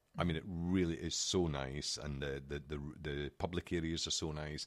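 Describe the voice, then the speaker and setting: A man talks with a Scottish accent at a moderate pace. His pitch is very deep and low. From Scotland. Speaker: podcast co-host. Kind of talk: casual chat.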